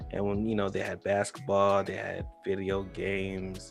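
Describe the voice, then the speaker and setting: With music in the background, a man with an American accent speaks at a fairly low pitch. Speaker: talk show host. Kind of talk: casual talk-show banter.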